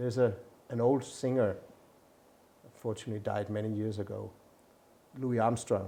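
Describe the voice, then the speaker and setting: A man with a fairly low pitch talks with fairly even intonation in a Danish accent. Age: 60s. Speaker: ambassador. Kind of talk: inspirational message to camera; interview. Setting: embassy.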